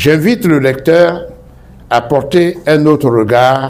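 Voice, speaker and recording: The man speaks very slowly. His delivery rises and falls in a lively way. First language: Baoulé (speaking French). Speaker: author. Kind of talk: formal speech. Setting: bookshop event hall with audience. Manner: formal.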